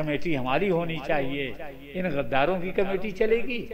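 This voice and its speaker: A man speaks at a high pitch. The recording has audible room echo and noticeable background noise. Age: 80s+. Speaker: Islamic cleric. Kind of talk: sermon. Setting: mosque. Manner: animated.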